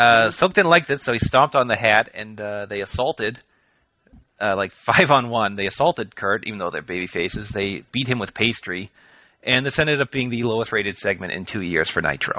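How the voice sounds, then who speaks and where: A man at a fairly quick pace, medium pitch, a normal speaking voice. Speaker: podcast host. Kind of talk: casual chat.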